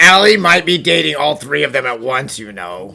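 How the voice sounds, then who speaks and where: Putting on a raspy character voice, a man speaks at a medium pitch and moderate pace with very wide pitch swings. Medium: fan dub. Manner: blunt, wry.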